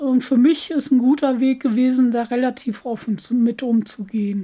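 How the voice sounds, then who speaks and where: Her voice sits high in pitch for a woman, yet the tone is dark and mellow. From Germany, East Westphalia-Lippe. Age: 40s. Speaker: deacon and social worker living with MS. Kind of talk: interview.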